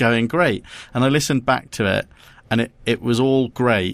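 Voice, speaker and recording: A man with an English accent, medium pitch and a moderate pace. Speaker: podcast co-host. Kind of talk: casual chat. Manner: monotone; halting.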